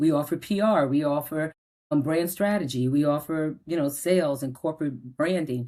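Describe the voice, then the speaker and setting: A woman speaks with a very deep, low pitch and a dark, mellow tone. She has a slight New Jersey accent. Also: ordinary pitch variation, moderate pace, very clean recording, silent background. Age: 60s. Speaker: media publisher and entrepreneur. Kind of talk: podcast interview. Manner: animated.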